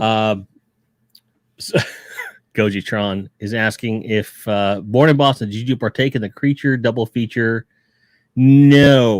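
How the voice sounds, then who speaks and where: Speaking at a fairly slow pace, a man with a slight Chicago accent keeps a medium pitch and ordinary pitch variation. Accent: a little bit of Chicago. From Pittsburgh, Pennsylvania. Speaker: toy collecting streamer, Marine veteran. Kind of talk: casual chat. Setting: live stream.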